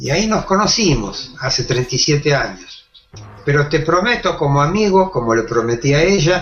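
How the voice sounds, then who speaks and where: A man's fairly high voice in a Rioplatense accent, with lively intonation. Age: 70s. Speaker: makeup artist and actor. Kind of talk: interview. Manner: halting, repeats words.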